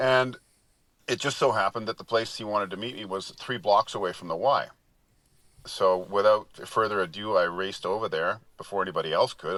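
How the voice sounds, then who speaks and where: A man with a Canadian accent talks at a fairly quick pace in a fairly low pitch, his tone bright and sharp, with ordinary pitch variation and big swings in loudness. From Canada, Vancouver. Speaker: stunt double. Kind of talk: interview storytelling. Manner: halting.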